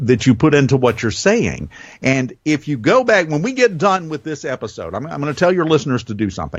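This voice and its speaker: With a slight Southern US accent, a man speaks. His pitch swings very widely. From US South. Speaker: radio host. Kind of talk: interview chat. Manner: varied pace and pitch.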